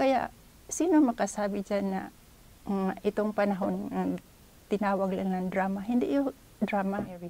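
A woman's dark, mellow voice with ordinary pitch variation and long, frequent pauses, dry with no echo. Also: moderate pace. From Philippines. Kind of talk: testimony. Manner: halting. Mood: earnest, reflective. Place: home room. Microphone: lapel.

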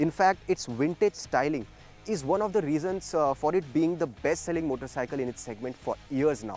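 Faint music plays in the background. Over it, a man speaks at a moderate pace. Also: dry sound with no echo. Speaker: motorcycle reviewer. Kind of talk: review presentation to camera. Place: open country. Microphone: lapel.

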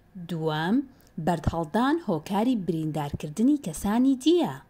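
Very wide pitch swings mark a somewhat breathy voice with a dark, mellow tone, moving at a very slow pace on a very clean recording with a silent background. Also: woman. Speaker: narrator of a Kurdish textbook. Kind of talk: reading aloud. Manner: clear.

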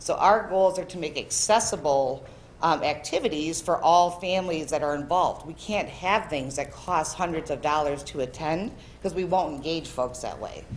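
There is an ordinary speaking voice, a woman at a fairly low pitch and moderate pace with ordinary pitch variation. Light background noise is present. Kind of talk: presentation. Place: meeting room. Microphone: podium.

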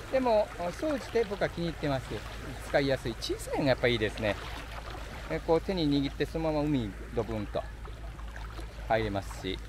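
The speech moves at a fairly quick pace. Background noise is noticeable, and the sound is dry with no echo. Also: man. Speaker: travel vlogger. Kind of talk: casual vlog chat. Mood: relaxed, friendly. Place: beach. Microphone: phone near.

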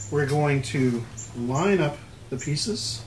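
Noticeable noise runs in the background while the speaker's pitch moves in an ordinary way. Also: man. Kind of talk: tutorial. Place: workshop. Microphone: camera far.

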